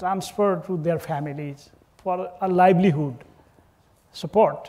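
The tone is dark and mellow, and the pace is fairly slow. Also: man. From Nepal. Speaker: government official, diplomat; panelist. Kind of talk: panel discussion. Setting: stage with live audience at conference. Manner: hesitant, many fillers. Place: hall.

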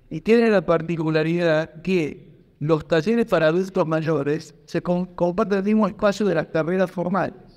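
Against a quiet background, a man talks at a moderate pace with a high pitch. His intonation stays fairly even. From Argentina. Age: 50s. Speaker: history teacher speaking at a pensioners' rights debate; panelist. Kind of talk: public debate contribution. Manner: halting, frequent repetitions. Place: hall. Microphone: handheld.

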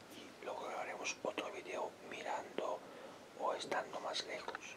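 A whispered voice moving at a fairly slow pace. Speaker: ASMR creator. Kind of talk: ASMR test recording, casual talk to camera. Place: home room. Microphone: phone near.

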